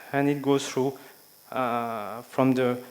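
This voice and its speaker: A man with a slight French accent over noticeable background noise. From France. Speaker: education speaker. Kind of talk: conference speech. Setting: stage with audience. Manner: halting, with frequent fillers.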